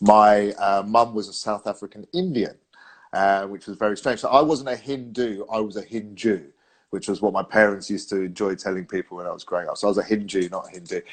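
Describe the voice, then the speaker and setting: The speech comes very fast in a London accent, over a quiet background. Its intonation is fairly even. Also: man, fairly low pitch for a man. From London, England. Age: 40s. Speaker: sales trainer. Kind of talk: casual chat. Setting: live video stream.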